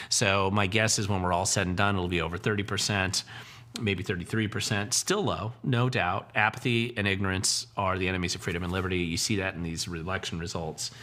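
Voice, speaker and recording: Bright and sharp in tone, a man speaks at a fairly low pitch with fairly even intonation and a fairly quick pace. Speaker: political commentator, livestream host. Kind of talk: livestream Q&A chat. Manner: fast; casual, hesitant fillers.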